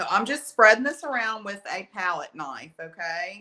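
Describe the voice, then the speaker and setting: A woman with an Alabama accent speaks at a fairly slow pace. Her tone is bright and sharp, her intonation lively. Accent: Alabama country. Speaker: art teacher. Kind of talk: live painting tutorial. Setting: livestream from art studio. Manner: casual, chatty.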